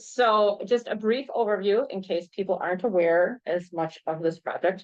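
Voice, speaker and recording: Ordinary pitch variation and a moderate pace shape the woman's speech. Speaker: trail planning consultant. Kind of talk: public meeting presentation. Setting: village board meeting with audience. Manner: loud.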